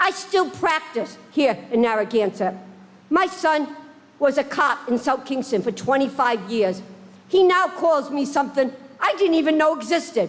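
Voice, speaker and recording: Over noticeable background noise, a woman speaks at a moderate pace in a high pitch, with lively intonation and very even loudness. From Rhode Island. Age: 70s. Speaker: resident speaking at public hearing. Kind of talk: public comment testimony. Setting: town council meeting.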